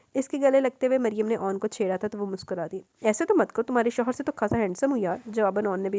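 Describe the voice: Ordinary pitch variation throughout plain reading aloud.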